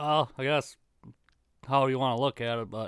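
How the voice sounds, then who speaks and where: An ordinary speaking voice from a man with an American accent, medium pitch, fairly even intonation and moderate pace, on a very clean, dry, close recording with a silent background and no echo. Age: 30s. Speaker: guest, farm and construction worker, coon hunter. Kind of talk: casual interview chat.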